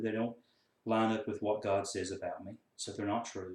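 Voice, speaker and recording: Here a man with a Southern US accent speaks at a fairly low pitch. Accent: Southern US country. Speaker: counselor and coach. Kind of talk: casual talk to camera.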